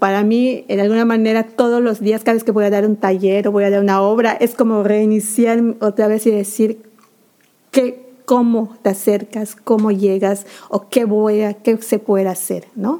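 This woman's voice sits fairly high in pitch. She talks at a fairly slow pace with monotone, flat intonation. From Yucatán, Mexico. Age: 40s. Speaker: community theatre director and actress. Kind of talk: interview. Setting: community theatre venue.

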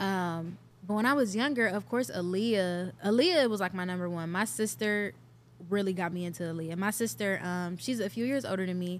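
In a very clean recording with a silent background, a woman speaks at a moderate pace with an American accent, using an unremarkable speaking voice at medium pitch with ordinary pitch variation. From US Midwest, Cleveland, Ohio. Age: 20s. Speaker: R&B singer. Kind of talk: casual interview.

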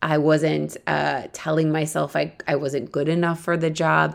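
On a very clean recording with a silent background, a woman with a Midwestern American accent speaks in an animated tone at a moderate pace. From US Midwest, Akron, Ohio. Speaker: life coach and podcast host. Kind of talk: solo podcast monologue. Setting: friend's apartment, mobile recording.

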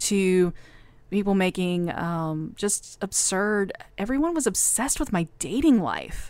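With a plain, everyday voice, a woman speaks at medium pitch with lively intonation on a very clean recording with a silent background. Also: fairly slow pace. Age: 40s. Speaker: radio consultant and former professor. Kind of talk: interview. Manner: casual, with frequent laughter.

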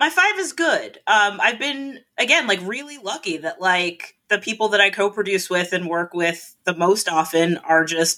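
A woman speaks in an American accent with a bright, sharp tone. Her pitch is medium and her pace moderate. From South Florida. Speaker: stand-up comedian. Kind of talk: casual chat.

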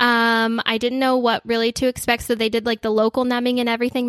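A woman's fairly high-pitched voice at a very fast pace, dry and close with no echo. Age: 30s. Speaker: podcast co-host and online boutique owner. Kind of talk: casual chat. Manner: animated.

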